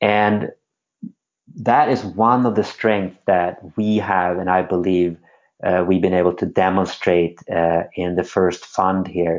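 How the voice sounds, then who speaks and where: A man's very deep, low voice with a Swedish accent, at a very slow pace, with very even loudness and fairly even intonation. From Sweden. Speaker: former pro skateboarder turned venture capitalist. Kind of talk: interview conversation.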